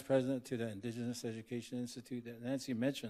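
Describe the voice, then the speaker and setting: A man's medium-pitched voice, dark and mellow in tone, with monotone, flat intonation. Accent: Southwestern US. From Navajo Nation, US Southwest. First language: Navajo. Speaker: professor, panelist. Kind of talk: conference panel introduction. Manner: halting.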